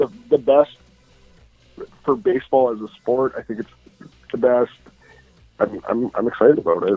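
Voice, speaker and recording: A man talks at a moderate pace, leaving long, frequent pauses, with music in the background. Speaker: online sports league streamer. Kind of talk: casual chat. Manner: animated.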